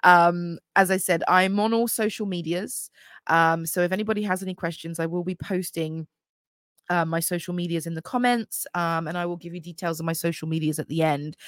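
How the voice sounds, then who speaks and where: Fairly quick, fairly low speech from a woman with an English accent, with fairly even intonation, in a very clean recording with a silent background. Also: dry, close sound with no echo. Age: 30s. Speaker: podcast host. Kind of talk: casual monologue. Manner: chatty, many fillers.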